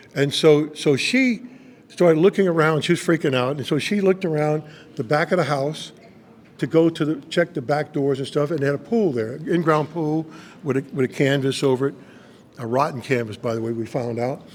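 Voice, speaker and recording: Over noticeable background noise, the speaker sounds animated and moves at a fairly quick pace. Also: man, fairly high pitch for a man, ordinary pitch variation. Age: 70s. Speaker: pastor. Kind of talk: testimony. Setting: on location interview. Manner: animated storytelling.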